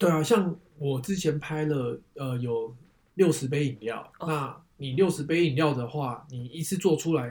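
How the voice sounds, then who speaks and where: A man with a fairly high pitch and a somewhat breathy voice speaks at a fairly slow pace with ordinary pitch variation. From Taiwan, Taipei. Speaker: photographer with side business. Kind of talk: casual interview.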